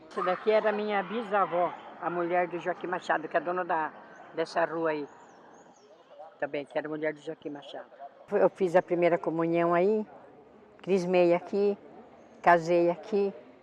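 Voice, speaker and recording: A high-pitched male voice at a moderate pace, fairly even in intonation, with big swings in loudness, long, frequent pauses and noticeable background noise. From Sorocaba, São Paulo state, Brazil. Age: 70s. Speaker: longtime local resident. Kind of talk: documentary interview.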